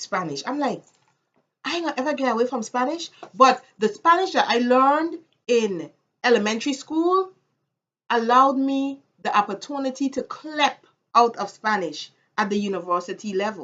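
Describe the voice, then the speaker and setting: A woman speaks with a Caribbean accent at a moderate pace, her pitch high. Her voice swings very widely in pitch, broken by long, frequent pauses. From US Virgin Islands, Saint Thomas. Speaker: vlogger. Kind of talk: casual vlog monologue.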